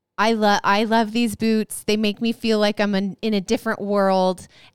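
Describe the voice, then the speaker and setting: A woman of medium pitch speaks in a plain, everyday voice. Her intonation is fairly even and the recording is very clean with a silent background. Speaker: podcast co-host and author. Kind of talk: casual chat. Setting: live stream recording.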